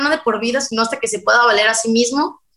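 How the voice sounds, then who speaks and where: Here is a woman with a plain, everyday voice. Her pitch sits fairly high, with ordinary pitch variation. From Mexico, Veracruz. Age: 20s. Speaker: singer. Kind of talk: casual chat.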